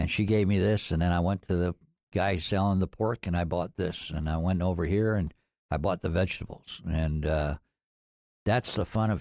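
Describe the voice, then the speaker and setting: A man's very deep, low voice at a moderate pace, fairly even in intonation, dry and close with no echo, on a very clean recording with a silent background. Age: 60s. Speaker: food entrepreneur. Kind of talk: podcast interview.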